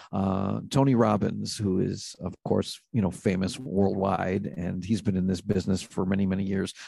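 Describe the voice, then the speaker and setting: This man has an American accent, a very deep, low pitch and a dark, mellow tone with vocal fry. He talks with hardly any pauses and fairly even intonation. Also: moderate pace. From Brooklyn, New York. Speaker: private investigator and life coach. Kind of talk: casual interview.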